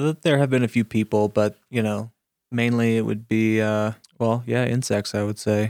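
The man has an ordinary speaking voice, in an American accent, at a moderate pace with fairly even intonation. The sound is dry and close with no echo, on a very clean recording with a silent background. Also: medium pitch for a man. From Florida Panhandle, small town. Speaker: cannabis cultivation manager. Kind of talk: casual interview.

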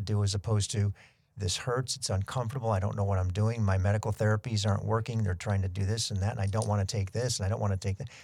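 A man talks at a very fast pace with hardly any pauses, in a fairly low, somewhat breathy voice. His intonation is monotone and flat, and the recording is very clean with a silent background. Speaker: podcast host and heart patient. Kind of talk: interview conversation.

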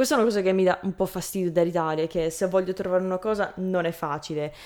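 This is a woman with a medium-pitched voice. Her intonation stays fairly even. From Canada. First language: English (speaking Italian). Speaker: language learner and video creator. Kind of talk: interview. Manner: halting.

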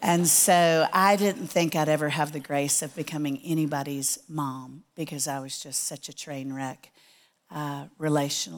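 A woman with a very deep, low pitch, fairly even intonation and big swings in loudness. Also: moderate pace, very clean recording, silent background. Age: 60s. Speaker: Bible teacher. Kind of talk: sermon. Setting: church with audience.

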